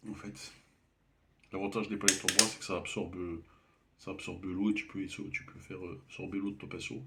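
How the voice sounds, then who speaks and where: At a moderate pace, a soft-spoken man with fairly low pitch talks in a monotone, flat intonation, leaving long, frequent pauses. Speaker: amateur painter. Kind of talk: painting tutorial. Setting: at home. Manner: halting.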